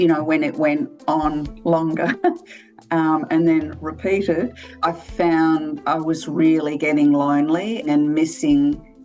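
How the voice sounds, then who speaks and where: Over music in the background, a woman with a very deep, low pitch speaks at a very slow pace, with ordinary pitch variation and very even loudness. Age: 60s. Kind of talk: interview answer.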